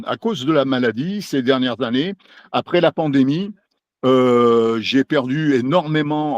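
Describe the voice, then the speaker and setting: A man at a fairly high pitch and fairly slow pace, with ordinary pitch variation and a dry, close sound with no echo. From France, Lyon. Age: 60s. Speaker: novelist. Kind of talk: interview. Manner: halting, many hesitations.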